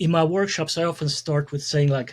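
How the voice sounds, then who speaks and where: In a Hungarian accent, a man speaks at a fairly high pitch. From Hungary. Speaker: communication consultant and speaker. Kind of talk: podcast interview.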